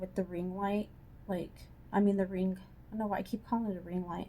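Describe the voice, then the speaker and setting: A woman's dark, mellow, somewhat breathy voice at medium pitch, in a monotone, flat intonation. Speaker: beauty vlogger. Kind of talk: casual chat. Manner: chatty, filler-heavy.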